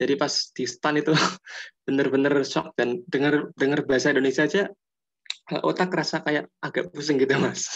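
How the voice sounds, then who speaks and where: With a slight Javanese accent, a man talks at a fairly quick pace in a fairly high pitch, keeping his intonation fairly even. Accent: slight Javanese (medok). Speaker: student. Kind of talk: class discussion. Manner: halting.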